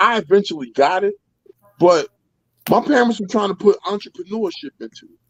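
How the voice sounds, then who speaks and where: A man with an American accent speaks fairly quickly in a high voice, with ordinary pitch variation and big swings in loudness. He takes long, frequent pauses, and the sound is dry and close with no echo. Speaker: guest sharing life story. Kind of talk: casual chat.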